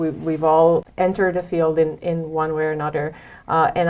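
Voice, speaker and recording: A woman speaks in a Romanian accent at a moderate pace. Her very deep, low voice stays monotone and flat. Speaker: head of security. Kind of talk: interview. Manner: halting, many fillers.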